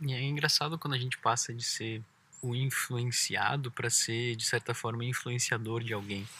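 At a moderate pace, a man speaks in a bright, sharp tone with fairly even intonation. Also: medium pitch for a man. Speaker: travel podcast host, cyclist. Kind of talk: casual chat. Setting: outdoors by a lake.

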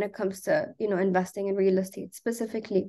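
Against a quiet background, a woman talks at a medium pitch. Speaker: startup founder. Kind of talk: interview. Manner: animated.

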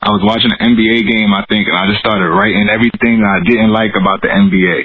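A man with an American accent speaks at a moderate pace in a normal speaking voice with a fairly low pitch. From Bronx, New York City. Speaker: business consultant. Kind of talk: casual interview.

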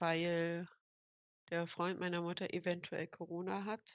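Very slowly and in a flat monotone, a woman speaks at a fairly low pitch, the sound dry and close with no echo and the recording very clean against a silent background. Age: 18. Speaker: podcast co-host. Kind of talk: casual chat.

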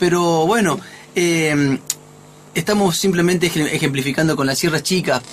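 Keeping his loudness very even, a man with a high pitch talks with long, frequent pauses. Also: ordinary pitch variation, fairly slow pace. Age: 50s. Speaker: radio host. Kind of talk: casual chat. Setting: studio.

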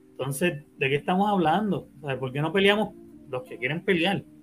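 With music in the background, a high-pitched man speaks at a fairly quick pace with lively intonation. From Puerto Rico. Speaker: podcast host. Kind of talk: casual chat. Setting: live stream.

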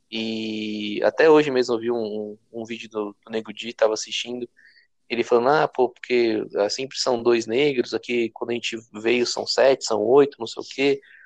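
A man speaks at a moderate pace with a medium pitch. His intonation stays fairly even, and the sound is dry and close with no echo. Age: 20s. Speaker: podcast co-host. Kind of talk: casual chat.

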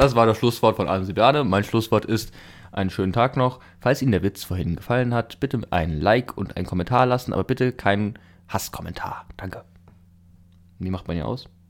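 This man has a normal speaking voice at a medium pitch with ordinary pitch variation. He talks fairly quickly in a very clean recording with a silent background. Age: young. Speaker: podcast co-host, in military service. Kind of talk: casual chat.

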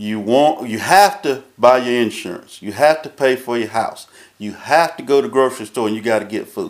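With a North Carolina accent, a man talks at a moderate pace and medium pitch, his intonation lively and his loudness rising and falling sharply. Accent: Southern US (North Carolina). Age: 50s. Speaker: drag racing track manager. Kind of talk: casual chat. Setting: track control tower.

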